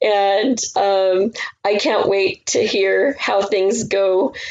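A woman talks at medium pitch with fairly even intonation. She has a plain, everyday voice. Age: 50s. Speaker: podcaster. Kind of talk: casual chat.

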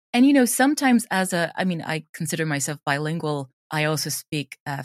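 A woman with a Swedish accent speaks at a fairly quick pace with hardly any pauses, in a very deep, low pitch and with lively intonation. The recording is very clean with a silent background and has a dry, close sound with no echo. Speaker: audio drama creator and drama teacher. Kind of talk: interview.

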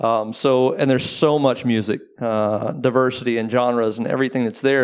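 This man has a normal speaking voice at a medium pitch with fairly even intonation. His pace is moderate, and the recording is very clean with a silent background. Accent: American. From Texas (Waco). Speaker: booking agency owner. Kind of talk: panel interview. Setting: live talk with audience.

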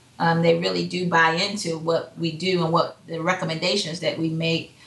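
A woman's fairly low, monotone, flat voice comes through with audible room echo and noticeable background noise. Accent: American. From Hampton, Virginia. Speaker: entrepreneur, psychology counselor. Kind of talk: casual interview chat.

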